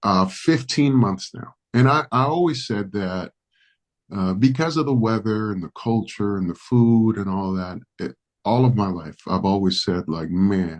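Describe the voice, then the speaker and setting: Fairly low in pitch, a man talks at a fairly slow pace with lively intonation. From Dominican Republic, raised in New York City. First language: Spanish. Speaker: pastor. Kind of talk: podcast interview.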